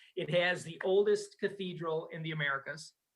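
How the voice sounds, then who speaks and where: A man with a Wisconsin accent speaks in a bright, sharp tone with ordinary pitch variation. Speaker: travel business owner. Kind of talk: podcast interview. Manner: animated.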